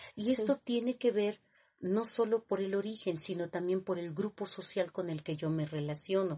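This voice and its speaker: A woman speaks with a Mexico City accent at a moderate pace. Her tone is dark and mellow. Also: medium pitch for a woman, ordinary pitch variation. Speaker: teacher. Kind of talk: lecture. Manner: halting.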